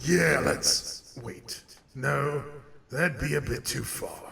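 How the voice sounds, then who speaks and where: Using a put-on character voice, a man speaks at a very slow pace and medium pitch, with a clear echo. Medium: machinima. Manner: curt, dismissive.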